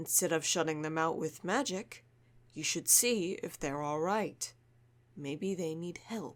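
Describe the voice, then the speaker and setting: In a put-on character voice, the speaker goes at a fairly slow pace with a middle pitch. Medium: audio drama. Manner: calm, firm.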